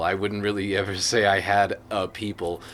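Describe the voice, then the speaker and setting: With an American accent and a fairly low pitch, a man speaks at a moderate pace over noticeable background noise. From Las Vegas, US. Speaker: interviewee. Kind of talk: casual chat. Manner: halting.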